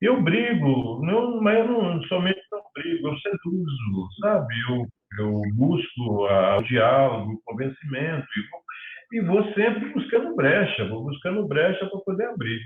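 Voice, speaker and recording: Talking at a fairly slow pace, a man has a high pitch and very wide pitch swings. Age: 60s. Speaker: filmmaker. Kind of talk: interview.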